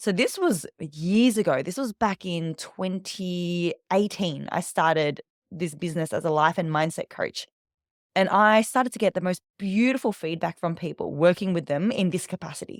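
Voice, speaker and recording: An animated woman with an Australian accent, medium in pitch with ordinary variation, at a moderate pace, in a very clean recording with a silent background and a dry, close sound with no echo. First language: Vietnamese. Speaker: public speaking coach. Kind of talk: interview storytelling.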